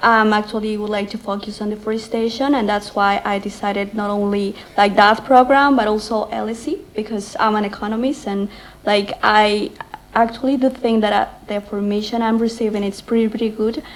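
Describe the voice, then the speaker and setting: With fairly even intonation, a woman speaks at a fairly quick pace as noticeable background noise fills the recording. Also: fairly high pitch for a woman. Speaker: graduate student. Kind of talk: speech. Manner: halting.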